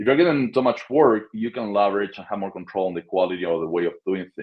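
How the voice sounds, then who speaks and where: Very fast talk from a man at a fairly low pitch. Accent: Spanish. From Argentina. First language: Spanish. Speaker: short-term rental property manager. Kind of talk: interview.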